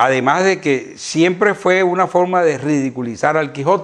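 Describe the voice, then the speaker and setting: Pitch varies in an ordinary way while the talking keeps a moderate pace. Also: man. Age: 60s. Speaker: veterinarian and donkey expert. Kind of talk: interview chat. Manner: hesitant with fillers.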